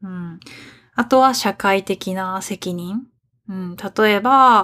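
Speaking very slowly, a woman holds a medium pitch with ordinary pitch variation. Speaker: podcast host, Japanese teacher. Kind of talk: language-learner podcast monologue. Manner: clear, learner-friendly pace.

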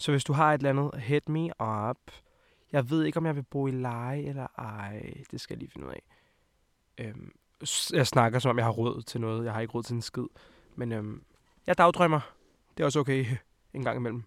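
Leaving long, frequent pauses, a man speaks at a medium pitch with ordinary pitch variation. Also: moderate pace, big swings in loudness, dry, close sound with no echo. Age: 20s. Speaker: podcast host. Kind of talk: casual chat.

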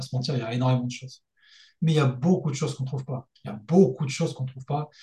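A man's medium-pitched, somewhat breathy voice with a dark, mellow tone, fairly even intonation, big swings in loudness and a very fast pace. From France, Lyon region. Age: 30s. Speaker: engineer and freelance mentor. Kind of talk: casual interview.

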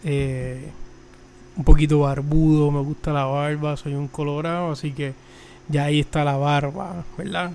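A man with a Puerto Rican accent speaks very slowly in a monotone, flat intonation at a fairly high pitch. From Puerto Rico. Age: 20s. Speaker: podcast host, mechanical engineer. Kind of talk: solo religious podcast talk. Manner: halting, many fillers and repetitions.

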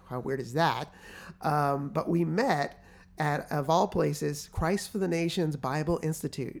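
The delivery is fairly slow, in a very clean recording with a silent background. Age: 40s. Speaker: nonprofit CEO and author. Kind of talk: casual chat.

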